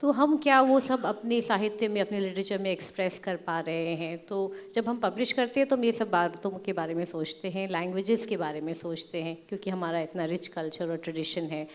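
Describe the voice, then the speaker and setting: This woman talks at a moderate pace with hardly any pauses and a medium pitch. Her intonation is lively. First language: English (weaker in Hindi) (speaking Hindi). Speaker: publisher, panelist. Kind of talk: panel discussion. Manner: code-switching Hindi-English, hesitant.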